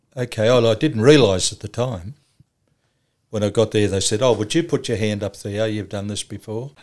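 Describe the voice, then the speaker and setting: Speaking with an Australian accent, a man uses a fairly low pitch, ordinary pitch variation and a moderate pace on a very clean recording with a silent background. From Australia, Cessnock, New South Wales. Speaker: charity leader for the homeless. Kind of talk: interview.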